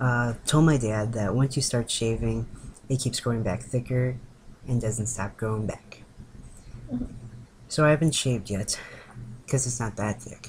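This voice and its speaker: At a moderate pace and medium pitch, a man talks in a somewhat breathy voice with fairly even intonation over light background noise. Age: 20s. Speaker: vlogger documenting gender transition. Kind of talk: casual video diary. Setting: indoors on webcam in girlfriend's room. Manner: giggly, rambling. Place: home room. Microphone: webcam.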